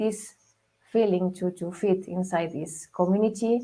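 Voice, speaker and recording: A woman speaks with a Spanish accent at a fairly slow pace. Her intonation is fairly even. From Spain. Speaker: mobile app marketer. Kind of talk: interview. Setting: radio show.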